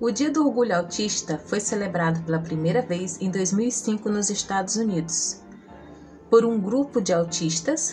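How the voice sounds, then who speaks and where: Music is playing behind the voice. The words come at a medium tempo. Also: woman. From Brazil. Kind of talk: casual talk to camera.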